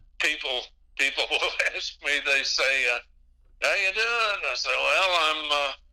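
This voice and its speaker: A man speaks with a slight Texas accent at a fairly slow pace. His speech has long, frequent pauses. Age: 80s+. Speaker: radio DJ. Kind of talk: interview. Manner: hesitant, many fillers.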